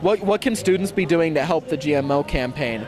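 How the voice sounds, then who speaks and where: A man with an American accent, high-pitched, with ordinary pitch variation over noticeable background noise. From California. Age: 19. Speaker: peace education organizer, student. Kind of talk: street interview. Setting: outdoors at a street event.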